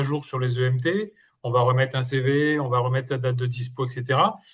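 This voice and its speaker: A fairly high-pitched, somewhat breathy male voice at a fairly quick pace against a quiet background. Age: 60s. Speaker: interim manager. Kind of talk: group discussion.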